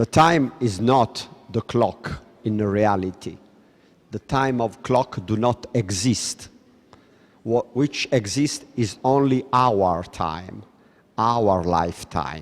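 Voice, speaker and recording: Speaking with an Italian accent, a man talks at a very slow pace. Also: medium pitch for a man, ordinary pitch variation. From Italy. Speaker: lecturer. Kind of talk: lecture.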